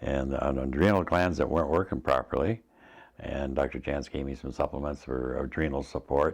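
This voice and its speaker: With vocal fry, a man speaks at a moderate pace in a very deep, low pitch. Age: 70s. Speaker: patient giving testimonial. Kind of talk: testimony. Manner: halting, many fillers and restarts.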